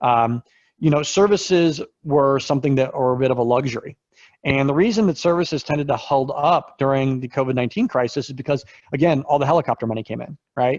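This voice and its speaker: The man's fairly high voice rushes along very fast. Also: ordinary pitch variation. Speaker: investment research firm founder. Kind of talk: webinar presentation of economic data. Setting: online webinar.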